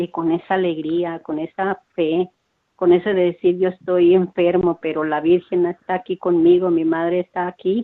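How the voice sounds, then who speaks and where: Her intonation is monotone and flat. The woman speaks at a fairly low pitch. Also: moderate pace. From Mexico. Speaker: parish radio volunteer. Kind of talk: testimony.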